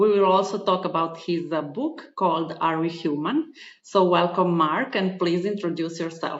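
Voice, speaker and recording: With a non-native accent, a woman speaks at a fairly low pitch with fairly even intonation. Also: moderate pace. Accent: foreign. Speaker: podcast host and spiritual advisor. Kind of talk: podcast interview.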